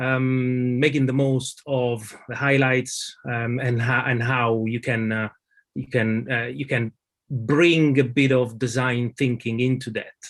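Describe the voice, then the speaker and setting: A man speaks at a medium pitch with a strong Italian accent. His pace is fairly slow and his intonation fairly even. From Italy. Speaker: lead designer. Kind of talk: conference presentation. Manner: halting, many fillers.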